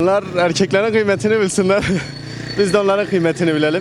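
A man's speech moves along fairly quickly. Background noise is clearly noticeable. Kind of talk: street interview answer.

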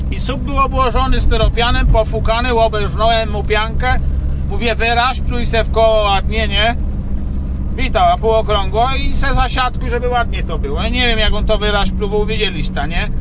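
Noticeable background noise sits under speech at a moderate pace, in a dry sound with no echo. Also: man. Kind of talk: casual vlog chat. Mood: annoyed but joking. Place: car. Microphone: phone near.

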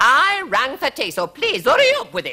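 The speaker uses a put-on character voice with a bright, sharp tone. The pitch swings very widely.

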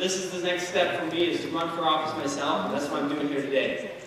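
A high-pitched man speaks in a room with strong echo and light background noise. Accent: American. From Indiana. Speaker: political candidate, firefighter. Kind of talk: campaign speech. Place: hall.

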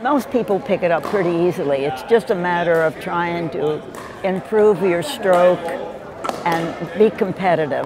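A woman speaks in a fairly low voice with ordinary pitch variation. The sound is dry with no echo, but noticeable background noise is present. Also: moderate pace. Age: 80s+. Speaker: pickleball player. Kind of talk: interview answer. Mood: warm, cheerful. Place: hall. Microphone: lapel.

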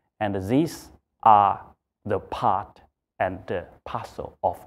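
Fairly low male voice with ordinary pitch variation. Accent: Chinese. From China. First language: Chinese. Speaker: accounting firm executive. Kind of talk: interview. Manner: halting. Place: office. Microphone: lapel.

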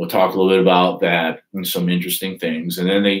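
Against a quiet background, a man's very deep, low voice holds a fairly even intonation. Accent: northern US. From Detroit, US Midwest. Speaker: author and YouTuber; YouTuber. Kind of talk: casual live stream monologue. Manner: halting, many fillers. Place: home room. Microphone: webcam.

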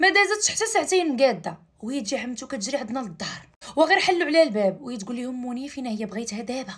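A woman speaks at a very fast pace in a high pitch. Her voice makes very wide pitch swings against a quiet background. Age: 20s. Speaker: storyteller. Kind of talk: narrated personal story. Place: home room. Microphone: phone near.

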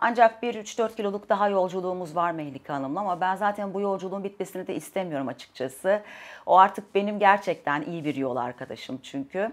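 A woman with a medium-pitched voice talks at a fairly quick pace, her intonation lively and her speech hardly broken by pauses. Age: 40s. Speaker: dietitian client; interviewee. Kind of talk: testimony. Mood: calm, positive, reflective. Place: home room.

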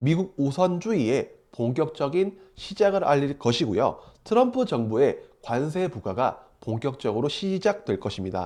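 With very wide pitch swings, a man talks at a fairly slow pace and a fairly high pitch, his tone dark and mellow over a quiet background. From South Korea, Daegu. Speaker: stock market YouTuber, office-worker trader. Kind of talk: market commentary monologue. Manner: formal.

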